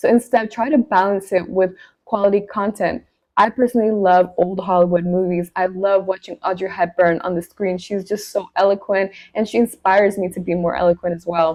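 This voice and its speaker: A woman's medium-pitched voice at a fairly quick pace with fairly even intonation. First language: not English. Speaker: lifestyle and etiquette vlogger. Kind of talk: talking-head advice video.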